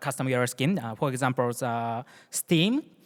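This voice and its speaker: A man with a Japanese accent and lively intonation, dry and close with no echo, on a very clean recording with a silent background. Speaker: security engineer. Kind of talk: conference talk. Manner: halting.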